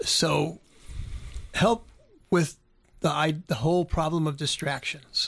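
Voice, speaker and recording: Long, frequent pauses break up a man's very slow speech. His pitch is fairly high. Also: ordinary pitch variation. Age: 50s. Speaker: radio co-host. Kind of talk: casual radio conversation. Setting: radio studio.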